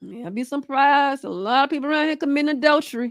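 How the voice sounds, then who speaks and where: A woman talks in an animated tone at a fairly quick pace. The recording is very clean, with a silent background. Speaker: Bible study teacher. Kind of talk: livestream Bible study lesson. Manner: fast.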